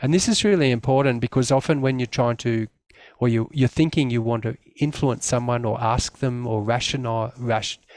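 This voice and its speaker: Dry, close sound with no echo and a quiet background, carrying a man with an Australian accent at medium pitch with fairly even intonation. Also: moderate pace. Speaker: community development worker. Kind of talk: presentation. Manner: hesitant, many fillers.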